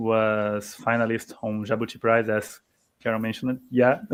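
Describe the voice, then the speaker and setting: This man speaks with a Portuguese accent. His pitch is medium and his pace moderate. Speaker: writer. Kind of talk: panel discussion. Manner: halting.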